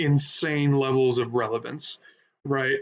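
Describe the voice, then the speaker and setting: A man's voice sits fairly high. He speaks at a fairly slow pace. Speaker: streamer reacting to wrestling video. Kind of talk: live stream reaction commentary. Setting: live stream. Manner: loud, animated.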